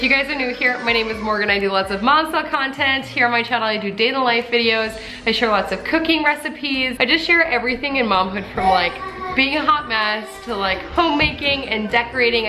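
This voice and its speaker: A woman talks at a very fast pace with a high pitch and ordinary pitch variation. Noticeable background noise runs underneath. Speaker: mom vlogger. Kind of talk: casual vlog chat. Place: kitchen.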